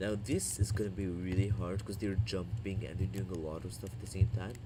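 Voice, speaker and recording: A man with a non-native accent speaks at a fairly quick pace in a dark, mellow tone and fairly low pitch. His pitch varies in an ordinary way, and the room echo is audible. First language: not English. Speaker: gaming youtuber. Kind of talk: gameplay tutorial. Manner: casual, hesitant.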